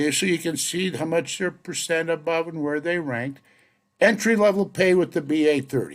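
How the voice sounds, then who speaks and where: A man's high voice at a fairly quick pace, with ordinary pitch variation, on a very clean recording with a silent background. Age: 70s. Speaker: statistician presenting salary research. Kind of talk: narrated data walkthrough. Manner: casual, conversational.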